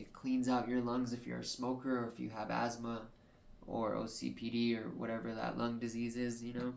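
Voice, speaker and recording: A man's monotone, flat delivery, with audible room echo and noticeable background noise. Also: medium pitch for a man, moderate pace. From New Mexico, Albuquerque. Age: 20s. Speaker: podcast host. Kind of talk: personal monologue. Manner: halting.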